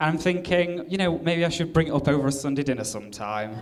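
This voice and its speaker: A man with an English accent speaks at a moderate pace with lively intonation. Room echo is audible. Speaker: comedian. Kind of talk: stand-up. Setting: stage with audience.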